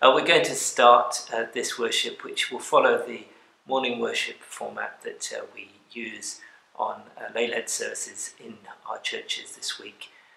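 Fairly slowly, a man speaks in a whisper. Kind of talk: informal address before a service. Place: church. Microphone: camera far.

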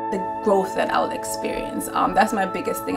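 A woman talks at a fairly quick pace over clear music in the background. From Jamaica. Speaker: social work graduate student. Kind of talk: interview answer. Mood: earnest, hopeful. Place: office.

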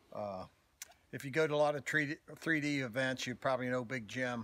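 A man with a Southern US accent talks at a moderate pace with fairly even intonation, and the sound is dry with no echo. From US South. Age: 70s. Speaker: archer and archery range owner. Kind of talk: outdoor demonstration walkthrough. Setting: outdoors. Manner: hesitant, many filler words. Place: forest. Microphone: phone near.

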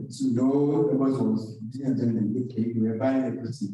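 In a room with strong echo but a quiet background, a man with a dark, mellow tone talks at a moderate pace. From Nigeria (Yoruba). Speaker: university lecturer, programme coordinator; university lecturer. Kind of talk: lecture. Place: classroom.

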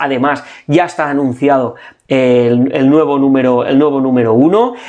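The speaker is a man with a medium pitch. It rises and falls in an ordinary way. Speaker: comic book youtuber. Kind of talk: product showcase, casual monologue. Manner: hesitant, many repeated words.

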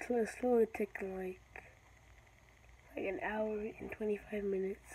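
A somewhat breathy, fairly high woman's voice at a moderate pace. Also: ordinary pitch variation. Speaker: gaming YouTuber. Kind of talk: gameplay commentary. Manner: halting, repetitive.

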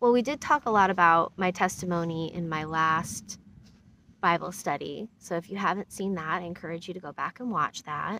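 With an American accent and a bright, sharp tone, a woman of fairly low pitch speaks at a moderate pace with ordinary pitch variation, in dry sound with no echo and light background noise. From US Midwest, Iowa. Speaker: Bible study host, YouTuber. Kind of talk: casual Bible study livestream. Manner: halting, with fillers. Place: open country. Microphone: phone near.

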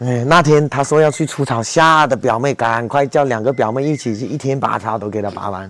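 A man talks at a fairly quick pace with hardly any pauses and ordinary pitch variation. The sound is dry with no echo. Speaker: rural life vlogger. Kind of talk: casual vlog chat. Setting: visiting a village home. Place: street. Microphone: lapel.

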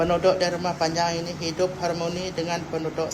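A woman with a Sarawak accent speaks in a monotone with flat intonation and fairly low pitch, amid noticeable background noise and audible room echo. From Sarawak, Malaysia (Iban longhouse village). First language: Iban (speaking Malay). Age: 50s. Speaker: longhouse chief. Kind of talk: interview answers. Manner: halting.

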